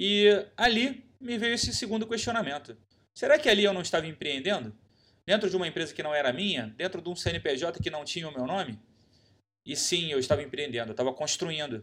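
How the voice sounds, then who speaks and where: This man talks at a fairly quick pace in a high voice, his pitch swinging very widely. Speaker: podcast host. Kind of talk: solo podcast monologue.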